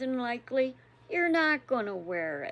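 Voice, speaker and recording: Here a woman is speaking. Her pitch swings very widely. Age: 60s. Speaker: devotional vlogger. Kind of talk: casual devotional talk.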